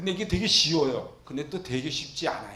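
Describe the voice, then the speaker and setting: An animated man's voice carries audible room echo. His pitch swings very widely. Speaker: pastor. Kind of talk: Bible lecture sermon. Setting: church. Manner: fast.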